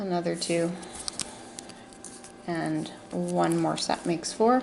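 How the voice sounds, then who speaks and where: Amid noticeable background noise and audible room echo, a woman speaks very slowly. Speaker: crafting tutorial maker. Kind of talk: tutorial. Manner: halting.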